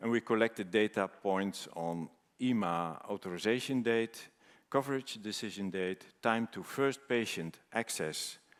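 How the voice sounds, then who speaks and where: In a very clean recording with a silent background, a man speaks fairly slowly at a fairly low pitch with ordinary pitch variation. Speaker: cancer researcher presenting at a conference. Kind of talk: conference presentation. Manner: halting with many fillers.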